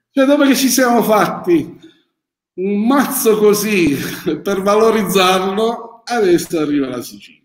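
A man with a high-pitched voice speaks at a fairly slow pace, his loudness swinging widely, with long, frequent pauses and audible echo from the room. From Apulia, Italy. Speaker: winemaker. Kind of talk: live-streamed interview. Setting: old wine cellar.

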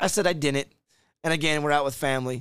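Very fast and fairly even in intonation, a man with an American accent and a fairly high voice speaks on a very clean recording with a silent background. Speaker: line cook. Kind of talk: casual chat.

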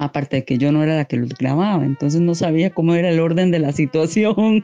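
The voice has a dark, mellow tone, recorded with a dry, close sound and no echo. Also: woman. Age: 40s. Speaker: mother telling a listener story. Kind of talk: personal anecdote. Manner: animated.

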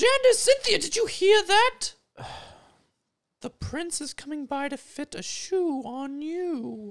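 A woman puts on a character voice at an extremely high pitch with very wide pitch swings. She talks at a fairly slow pace with long, frequent pauses. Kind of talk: comic improv. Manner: curt, dismissive.

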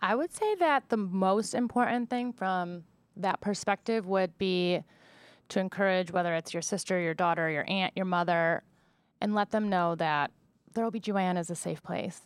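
Speaking in a normal speaking voice with an American accent, a woman talks at a moderate pace and a medium pitch. The recording is very clean, with a silent background. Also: ordinary pitch variation, dry, close sound with no echo. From Buffalo, New York. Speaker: OB-GYN physician. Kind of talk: interview.

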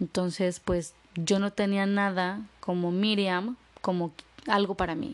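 This is a plain, everyday voice with fairly even intonation. The background is quiet. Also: woman. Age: 30s. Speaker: podcast co-host. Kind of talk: casual chat.

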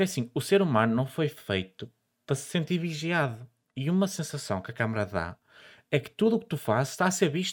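Speaking at a moderate pace in a fairly high voice, a man swings his pitch very widely on a very clean recording with a silent background. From northern Portugal. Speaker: podcast host. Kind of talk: casual chat.

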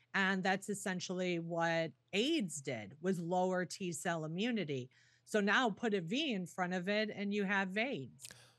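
A woman's normal speaking voice, medium in pitch and fairly slow in pace, over a quiet background. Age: 40s. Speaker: nurse and healthcare whistleblower. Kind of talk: interview conversation.

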